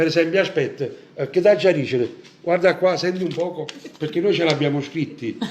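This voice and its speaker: Amid noticeable background noise, a man with a Neapolitan accent speaks in a high pitch with ordinary pitch variation and long, frequent pauses. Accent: Neapolitan Italian. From Naples, Italy. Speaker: Neapolitan singer hosting a live show. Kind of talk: casual live-stream chat. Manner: animated.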